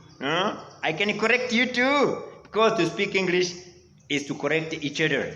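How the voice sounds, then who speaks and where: A man with a high-pitched, raised, projected voice speaks at a moderate pace with lively intonation, and audible room echo is heard. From Rwanda. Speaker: English teacher. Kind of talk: online lesson. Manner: animated.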